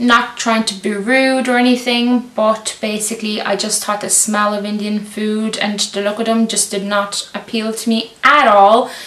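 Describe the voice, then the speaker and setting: With noticeable background noise, a woman with a Lithuanian accent speaks at a fairly high pitch in a monotone, flat intonation. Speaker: YouTuber. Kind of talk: casual Q&A vlog.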